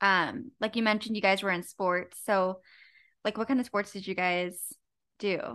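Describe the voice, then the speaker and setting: A woman's bright, sharp tone at a moderate pace, fairly even in intonation, with long, frequent pauses over a quiet background. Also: medium pitch for a woman. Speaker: podcast co-host. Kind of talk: casual chat.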